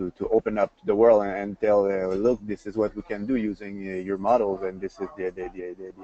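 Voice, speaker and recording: A man speaks fairly quickly at a fairly low pitch with a Quebec accent. Background noise is noticeable. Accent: Québécois French accent in English. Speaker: industry presenter. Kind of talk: webinar presentation. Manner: fast; animated.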